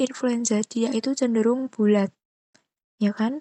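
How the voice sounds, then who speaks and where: Whispering at a fairly slow pace, a woman is heard in a dry, close sound with no echo. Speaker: biology teacher. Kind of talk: tutorial.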